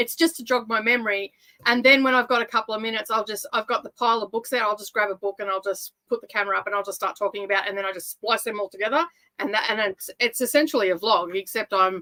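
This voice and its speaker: The delivery is very fast, with ordinary pitch variation and a dry, close sound with no echo. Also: woman, fairly high pitch for a woman. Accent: Australian. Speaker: booktuber. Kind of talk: casual chat.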